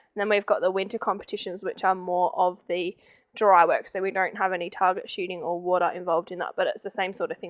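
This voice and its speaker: Monotone, flat intonation in an Australian accent at a very fast pace. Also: woman. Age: 20s. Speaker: volunteer firefighter and junior coach. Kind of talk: documentary interview.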